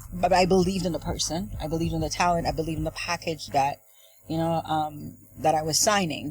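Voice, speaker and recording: Noticeable background noise sits behind a woman with a very deep, low pitch. She talks at a very fast pace with fairly even intonation. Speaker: dancehall and hip-hop artist, label owner. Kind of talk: radio/TV interview. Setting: studio, live broadcast.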